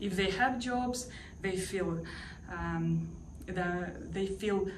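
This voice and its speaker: A woman speaks at a very slow pace. Audible room echo trails her words. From Ukraine. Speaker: language teacher. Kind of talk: testimonial interview. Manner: hesitant, many fillers.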